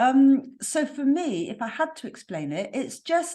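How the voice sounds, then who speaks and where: Very slow speech with lively intonation and a slight West Country accent. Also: woman. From West Country, England. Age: 50s. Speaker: spiritual mentor. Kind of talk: podcast interview.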